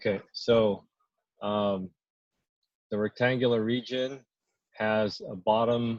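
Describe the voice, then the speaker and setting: A man's fairly low voice comes through in a monotone, flat delivery, recorded dry and close with no echo. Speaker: math instructor. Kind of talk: lecture.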